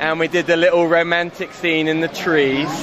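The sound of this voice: Faint background noise and faint crowd noise sit behind a man speaking at a moderate pace, his fairly high pitch carrying a fairly bright tone with little pitch movement.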